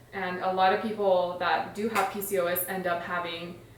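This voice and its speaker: Against noticeable background noise and audible room echo, a woman speaks at a medium pitch with monotone, flat intonation. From Iran. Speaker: stay-at-home mom and health vlogger. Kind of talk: casual vlog introduction. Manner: conversational with filler words.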